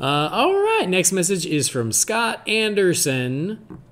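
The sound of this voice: A man speaks slowly in a high pitch with a fairly bright tone. His pitch swings very widely.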